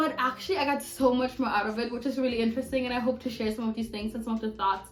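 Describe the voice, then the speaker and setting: The speech runs at a very fast pace with fairly even intonation, and noticeable background noise sits behind it. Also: woman, high pitch for a woman. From Germany. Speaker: university student podcaster. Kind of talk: casual chat.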